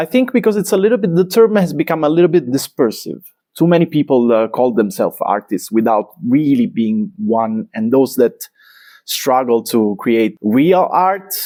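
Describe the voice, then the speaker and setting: A man with an Italian accent, a dark, mellow tone and very wide pitch swings at a moderate pace, in a very clean recording with a silent background and a dry, close sound with no echo. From Italy, Naples. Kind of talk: interview conversation. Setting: artist's studio. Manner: halting, many fillers.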